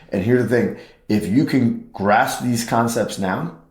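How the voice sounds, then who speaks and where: With audible room echo, a man talks at a moderate pace and medium pitch, using ordinary pitch variation. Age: 50s. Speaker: chiropractor. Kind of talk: health talk podcast.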